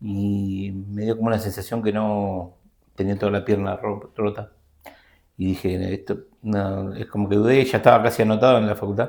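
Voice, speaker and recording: A man speaks at a moderate pace with a fairly low pitch and a flat, monotone delivery. The recording is very clean, with total background silence. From Argentina, Buenos Aires province. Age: 50s. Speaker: systems analyst and teacher. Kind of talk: interview. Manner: halting.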